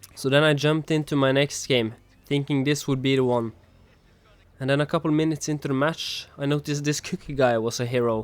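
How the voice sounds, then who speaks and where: A man with a non-native accent, fairly high in pitch, fairly quick in pace and fairly even in intonation. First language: not English. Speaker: gaming YouTuber. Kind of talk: gameplay narration. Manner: not fully natural, non-native delivery.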